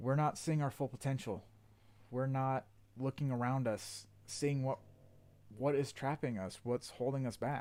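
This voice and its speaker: Against a very clean recording with a silent background, a man with a dark, mellow tone speaks at a fairly slow pace, taking long, frequent pauses. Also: medium pitch for a man, fairly even intonation. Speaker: motivational speaker. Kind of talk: motivational livestream talk. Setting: livestream. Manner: monotone.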